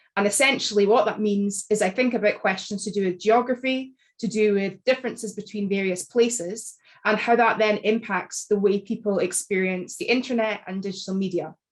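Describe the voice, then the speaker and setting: At a fairly quick pace, a woman speaks with a Scottish accent and fairly even intonation. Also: medium pitch for a woman. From Scotland. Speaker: academic author. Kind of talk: panel talk. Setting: video call. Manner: formal.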